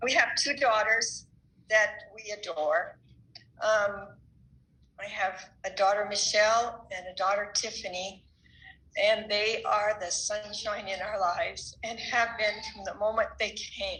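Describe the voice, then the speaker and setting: Fairly even intonation with big swings in loudness, amid audible room echo. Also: woman. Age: 70s. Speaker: church member giving a talk. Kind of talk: church talk.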